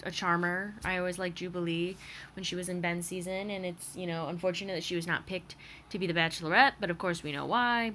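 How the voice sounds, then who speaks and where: In an American accent, the voice comes across with a bright, sharp tone. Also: woman. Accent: Michigan accent, coming out slightly. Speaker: vlogger / TV reaction commentator. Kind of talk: casual commentary monologue. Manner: hesitant, many fillers.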